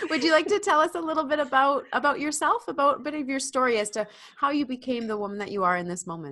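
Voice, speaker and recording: A woman with a warm, enthusiastic, bright and sharp tone talks very fast in a raised, projected voice, her high pitch swinging very widely. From Canada. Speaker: podcast host. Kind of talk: podcast interview.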